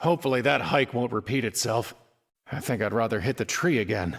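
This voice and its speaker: Using a put-on character voice with a weary tone, a man talks at a fairly quick pace with medium pitch and lively intonation. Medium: video game. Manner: weary, gloomy.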